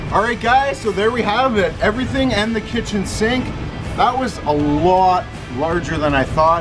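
A man holds a moderate pace while noticeable background noise is present. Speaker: food challenge vlogger. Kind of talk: casual vlog chat. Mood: upbeat after winning challenge. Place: street. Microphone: camera far.

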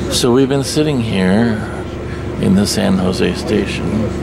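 Loud background noise sits behind the speaker. A man talks at a very slow pace. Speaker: train traveler vlogger. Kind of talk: casual vlog chat. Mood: wry, resigned about delay. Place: train. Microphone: phone near.

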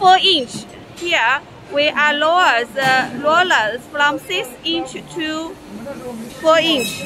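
Against light background noise, a woman speaks very slowly in a raised, projected voice with ordinary pitch variation. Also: dry sound with no echo. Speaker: machine seller explaining setup. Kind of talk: tutorial. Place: factory. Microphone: phone near.

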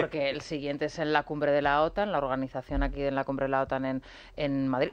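Speaking at a fairly quick pace, a woman has a very deep, low pitch. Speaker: political commentator. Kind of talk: radio talk show debate.

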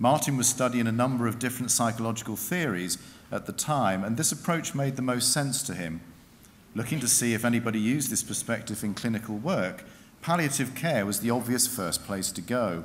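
A man at a fairly quick pace, with ordinary pitch variation over light background noise. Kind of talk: formal ceremonial citation. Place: hall. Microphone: podium.

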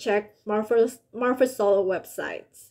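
A woman speaks with an Indonesian accent. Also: quiet background. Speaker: college student intern. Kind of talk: scripted reflection on an internship. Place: home room. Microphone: webcam.

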